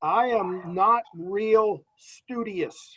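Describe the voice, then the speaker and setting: With an American accent, a man is talking. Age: 60s. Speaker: farm interpreter. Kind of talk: interview. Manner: animated.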